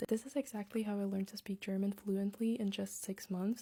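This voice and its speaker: In a Latvian accent, a woman speaks at a moderate pace and medium pitch with fairly even intonation. Her tone is dark and mellow, and somewhat breathy. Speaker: language-learning content creator. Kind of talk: casual vlog talk with tips.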